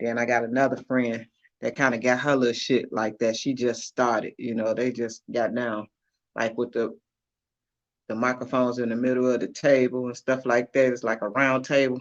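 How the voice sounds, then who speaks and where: A man speaks at a moderate pace and medium pitch in a monotone, flat delivery. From Chicago. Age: 50s. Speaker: livestream host. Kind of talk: casual chat. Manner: laid-back, conversational.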